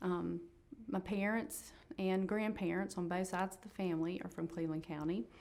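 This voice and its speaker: A woman with a North Carolina accent, medium pitch and fairly even intonation. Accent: Southern US (North Carolina). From Shelby, North Carolina. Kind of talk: oral history interview answer.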